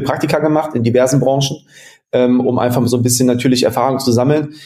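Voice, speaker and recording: Noticeable background noise and audible room echo surround a man speaking very fast at medium pitch in a flat monotone. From western Germany, near Mönchengladbach. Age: 30s. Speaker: sports management agency founder. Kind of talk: interview.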